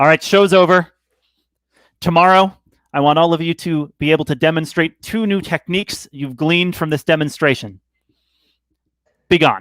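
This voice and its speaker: In a put-on character voice that is gruff and middle in pitch, the speaker keeps a moderate pace with long, frequent pauses. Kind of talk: formal, archaic. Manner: barking, gruff, commanding.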